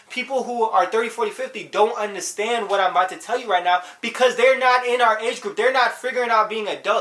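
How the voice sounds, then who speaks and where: At a fairly quick pace, a man speaks in an animated tone with ordinary pitch variation, and noticeable background noise can be heard. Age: 20s. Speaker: youtuber giving life advice. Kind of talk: casual vlog monologue. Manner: fast.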